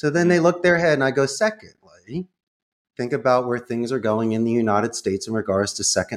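On a very clean recording with a silent background, a man with a Philadelphia accent speaks with ordinary pitch variation. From Northeast Philadelphia. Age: 50s. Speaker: call center CEO. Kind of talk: casual interview.

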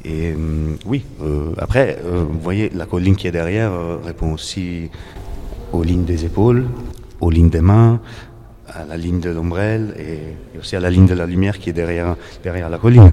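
A man's very deep, low voice with a slight Italian accent, ordinary pitch variation, a moderate pace, long and frequent pauses, and noticeable background noise. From Italy, Naples. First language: Italian (speaking French). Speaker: painter. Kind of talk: interview. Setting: art gallery. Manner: halting, many repetitions.

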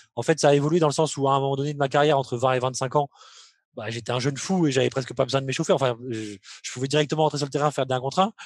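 Very fast speech from a man with a fairly high voice and fairly even intonation, over a quiet background. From France, Limoges. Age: 30s. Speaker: professional basketball player. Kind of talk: interview. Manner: hesitant, many fillers.

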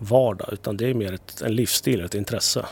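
A man's unremarkable speaking voice, fairly low in pitch, at a fairly quick pace with ordinary pitch variation. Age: 30s. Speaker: TV executive producer. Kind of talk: casual interview chat.

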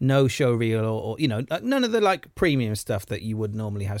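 A man with a fairly low pitch at a very fast pace, on a very clean recording with a silent background. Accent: Welsh. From Wales. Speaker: actor. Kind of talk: casual chat.

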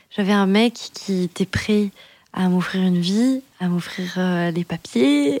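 On a dry, close recording with no echo, a woman speaks in a plain, everyday voice with ordinary pitch variation. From France, Dordogne (Périgueux). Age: 30s. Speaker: podcast guest sharing her life story. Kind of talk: personal storytelling in casual chat. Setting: recording at home over wine.

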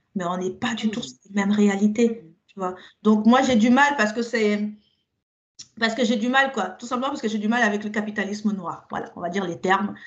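Talking at a fairly quick pace, a woman with a normal speaking voice has a fairly high pitch and ordinary pitch variation. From Cameroon (Yaoundé), then France from age 9. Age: 40s. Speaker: podcast guest. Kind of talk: casual chat.

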